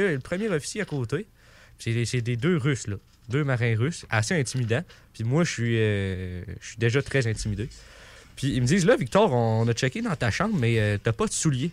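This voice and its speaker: A man's voice at a fairly quick pace, with very wide pitch swings. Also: very clean recording, silent background. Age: 20s. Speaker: sailor. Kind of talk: storytelling in radio chat. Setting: radio studio.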